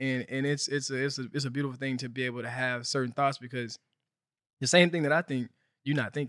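In a Southern US accent, a man talks at a very fast pace with medium pitch and fairly even intonation. The recording is very clean, with a silent background. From US South, Helena, Arkansas. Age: 20s. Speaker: event organizer. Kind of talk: casual chat.

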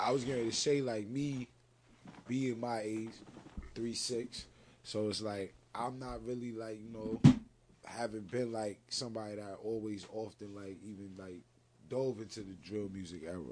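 At a moderate pace, a man with an ordinary speaking voice talks at a medium pitch. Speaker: podcast co-host. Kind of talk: casual interview.

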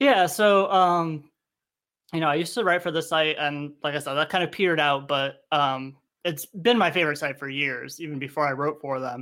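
A man speaks in a normal speaking voice at a fairly high pitch with ordinary pitch variation. The recording is very clean, the background silent. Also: moderate pace. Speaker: podcast host. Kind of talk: casual chat.

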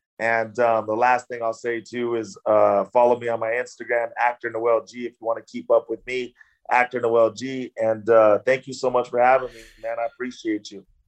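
With a Californian accent, a man of medium pitch talks in a monotone, flat way with big swings in loudness, in a dry, close sound with no echo. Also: moderate pace, hardly any pauses. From Southern California, Orange County and LA. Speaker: actor. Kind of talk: interview. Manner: casual, many fillers.

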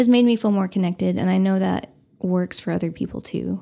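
A woman's voice in a very clean recording with a silent background. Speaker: podcast editor. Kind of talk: casual chat.

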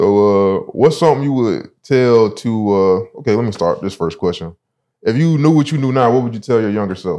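A man with a Southern US accent talks at a fairly quick pace with lively intonation. His voice sits at medium pitch with a dark, mellow tone. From South Carolina, Sumter. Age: 20s. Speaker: podcast host. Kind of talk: casual interview.

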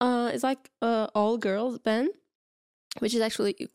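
A woman with a Portuguese accent speaks at a moderate pace and a fairly high pitch. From Portugal, Porto. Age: 30s. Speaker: podcast co-host. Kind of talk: casual chat.

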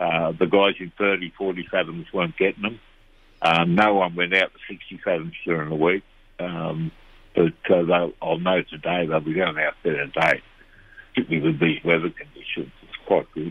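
A man with an Australian accent and a very deep, low voice speaks at a moderate pace in a monotone, flat intonation, with big swings in loudness. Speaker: fishing reporter. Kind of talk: casual chat.

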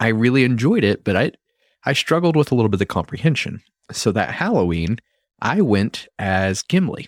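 Recorded very cleanly against a silent background with a dry, close sound and no echo, a man at medium pitch talks fairly quickly with very wide pitch swings and very even loudness. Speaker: podcast host. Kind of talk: casual podcast conversation. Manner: informal, joking.

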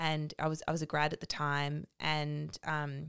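In an Australian accent, a woman speaks with a dry, close sound and no echo. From Melbourne, Australia. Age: 30s. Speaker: podcast co-host. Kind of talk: casual chat.

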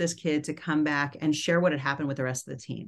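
With an American accent and a very deep, low pitch, a woman talks at a very fast pace against a quiet background. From US, New York City. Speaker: company founder and CEO. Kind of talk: podcast interview.

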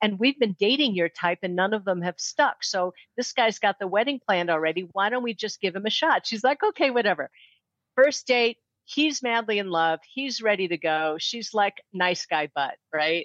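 A woman with an American accent, medium pitch, lively intonation, and a moderate pace. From US Midwest, St. Louis. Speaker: matchmaker and dating coach. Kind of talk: casual interview. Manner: animated.

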